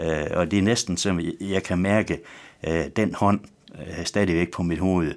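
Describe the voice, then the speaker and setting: With a West Jutland accent, a man speaks at a fairly slow pace in a very deep, low pitch and fairly even intonation. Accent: West Jutlandic Danish. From West Jutland, Denmark. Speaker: pastor. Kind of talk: radio interview. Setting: radio studio. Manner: halting.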